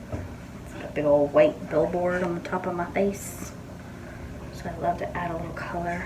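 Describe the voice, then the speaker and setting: A woman speaks quietly. Noticeable background noise and audible room echo surround her voice. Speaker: beauty vlogger. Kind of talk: casual makeup tutorial. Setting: home bathroom. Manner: subdued.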